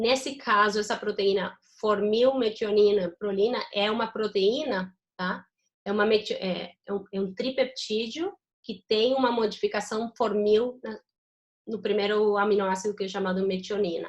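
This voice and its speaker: A woman talks in a plain, everyday voice at a fairly high pitch. Her pace is moderate and her intonation fairly even. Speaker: university lecturer. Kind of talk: lecture. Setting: video call.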